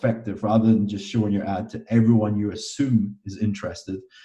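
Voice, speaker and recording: A man with a Scottish accent, fairly low in pitch, his dark, mellow tone somewhat breathy and his intonation monotone and flat. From Scotland. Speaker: fitness coach and online marketer. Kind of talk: casual interview.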